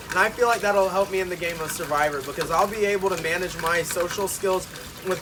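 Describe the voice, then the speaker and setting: Loud and very fast, the voice carries an American accent. Noticeable background noise runs underneath. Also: man. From Arkansas. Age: young. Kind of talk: audition tape talk to camera. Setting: outdoors.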